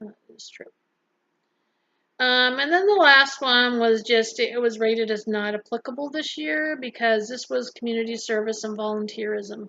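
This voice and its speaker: A woman is soft-spoken. Her pitch shifts in an ordinary way. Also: fairly high pitch for a woman, moderate pace. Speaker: vlogger and health center worker. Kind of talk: casual vlog talk.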